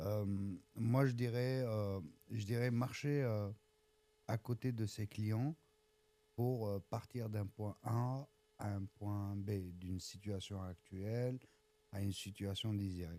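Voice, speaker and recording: Against a silent background in a very clean recording, a man speaks at a very slow pace with a fairly low pitch, a dark, mellow tone, fairly even intonation and long, frequent pauses. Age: 40s. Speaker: agile coach. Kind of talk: casual interview. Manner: hesitant, many fillers.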